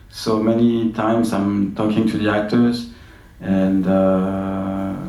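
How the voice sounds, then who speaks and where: Music plays in the background, and there is audible room echo as a man speaks very slowly with a French accent. His pitch is fairly low and his intonation fairly even. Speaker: film director. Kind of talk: festival Q&A interview. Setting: stage with audience. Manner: halting.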